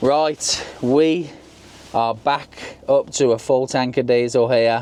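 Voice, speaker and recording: This man speaks with a Birmingham accent at a medium pitch. Noticeable background noise runs behind him. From England, Birmingham. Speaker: travel vlogger. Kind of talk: casual vlog narration.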